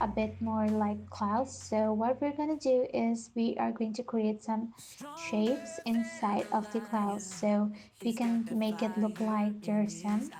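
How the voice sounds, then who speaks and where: Over music in the background, a woman with a non-native accent speaks at a fairly slow pace. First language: not English. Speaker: digital artist. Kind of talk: tutorial. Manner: casual with frequent hesitations.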